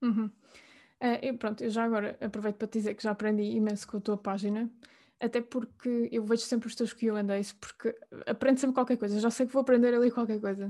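A woman's fairly high pitch and dark, mellow tone, in a monotone, flat delivery with a European Portuguese accent, over a quiet background. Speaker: podcast host. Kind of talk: interview.

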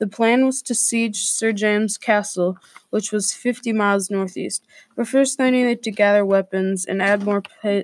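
Someone is doing plain reading aloud. The text comes across with no added flourish.

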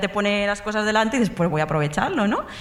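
Background noise is noticeable and room echo is audible while a woman talks. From Mallorca, Spain. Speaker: audience member. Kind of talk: storytelling before a live audience. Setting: stage with audience.

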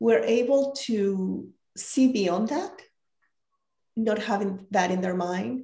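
This woman speaks at a very slow pace with a Spanish accent, her tone dark and mellow and somewhat breathy. Her pitch varies in an ordinary way, and she leaves long, frequent pauses. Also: medium pitch for a woman. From Mexico. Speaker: leadership coach. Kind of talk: interview conversation.

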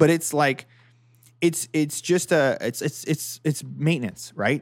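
A man with a Canadian accent uses a normal speaking voice at a fairly high pitch and a fairly slow pace. The recording is very clean, with a silent background. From Ontario, Canada. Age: 30s. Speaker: golf podcast host. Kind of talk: casual chat.

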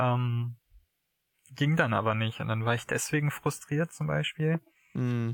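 At a fairly slow pace with long, frequent pauses, a man of medium pitch speaks with lively intonation in a dry, close sound with no echo. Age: 20s. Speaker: podcast guest in a long-distance relationship. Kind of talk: casual conversation. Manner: halting.

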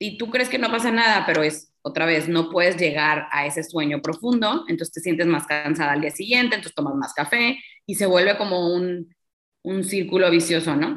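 A woman speaks at a fairly quick pace with lively intonation and fairly low pitch. Hers is a plain, everyday voice. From Mexico, Tampico, Tamaulipas. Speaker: sleep coach. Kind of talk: interview.

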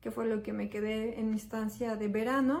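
The woman's voice is fairly high in pitch, and she keeps to a moderate pace. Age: 30s. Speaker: language learner giving testimonial. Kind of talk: testimony.

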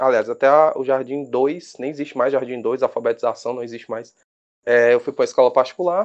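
Against a quiet background, the speaker talks at a fairly quick pace with fairly even intonation. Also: man. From Brazil, Fortaleza, Ceará. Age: 20s. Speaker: rugby referee and biologist. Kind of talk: casual interview. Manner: hesitant, repeats words.

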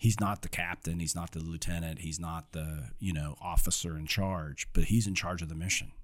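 In a Midwestern US accent, a man speaks with a very deep, low pitch. His intonation is fairly even, with hardly any pauses. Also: moderate pace, big swings in loudness. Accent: General American, Midwestern. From Ohio, US Midwest. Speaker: corporate security executive, Marine veteran. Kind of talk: interview conversation.

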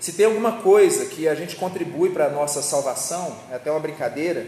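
A man talks at a high pitch with ordinary pitch variation. There is audible room echo and noticeable background noise. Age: 30s. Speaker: preacher. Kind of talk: sermon.

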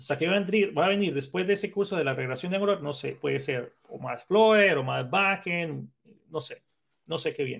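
This man speaks at a high pitch with lively intonation. His pace is moderate. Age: 30s. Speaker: programming instructor and content creator. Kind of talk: casual chat.

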